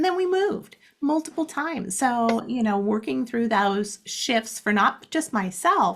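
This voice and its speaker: In an American accent, the speaker goes at a fairly slow pace with lively intonation and a somewhat breathy sound on a very clean recording with a silent background. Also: woman. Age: 60s. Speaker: life coach. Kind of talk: interview.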